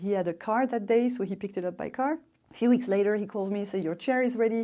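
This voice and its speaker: A woman with a French accent and a dark, mellow tone, fairly high in pitch with ordinary pitch variation, at a very fast pace in a very clean recording with a silent background. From France. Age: 50s. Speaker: expat interviewee. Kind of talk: interview storytelling.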